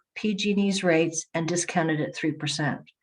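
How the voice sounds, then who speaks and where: Her pitch sits fairly low for a woman, and her intonation stays fairly even. She speaks at a moderate pace. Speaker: community energy agency representative. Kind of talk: webinar presentation. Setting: online webinar. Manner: hesitant, with fillers and self-corrections.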